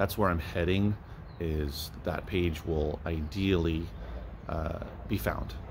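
A man speaks over noticeable background noise. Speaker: book reseller. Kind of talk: casual vlog chat. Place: shop. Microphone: phone near.

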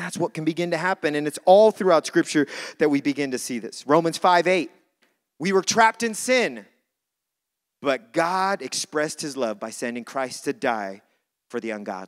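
A fairly high-pitched man's voice with very wide pitch swings and big swings in loudness. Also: moderate pace. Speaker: pastor. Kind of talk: sermon. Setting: church.

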